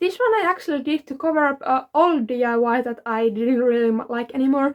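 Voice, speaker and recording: A woman with a non-native accent, high-pitched, at a moderate pace with ordinary pitch variation, in a very clean recording with a silent background. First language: not English. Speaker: DIY fashion vlogger. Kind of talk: show-and-tell tutorial. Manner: casual, filler-heavy (like, um).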